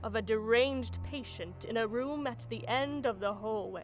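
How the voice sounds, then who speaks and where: Music sits in the background. A woman talks at a very slow pace. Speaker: voice actor. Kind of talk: video game lore narration.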